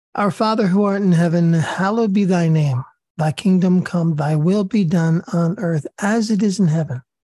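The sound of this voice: A woman's raspy, fairly low voice with a dark, mellow tone, dry and close with no echo. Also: ordinary pitch variation, moderate pace.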